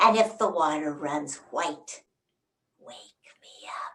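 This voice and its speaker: A woman uses a put-on character voice pitched fairly low. She speaks at a very slow pace. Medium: read story. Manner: snarling, commanding.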